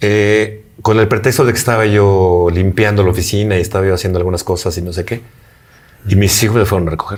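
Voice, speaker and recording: Intonation stays fairly even. The man's voice is very deep and low. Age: 60s. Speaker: interviewee recovering from addiction. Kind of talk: interview testimony. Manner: halting, with repetitions.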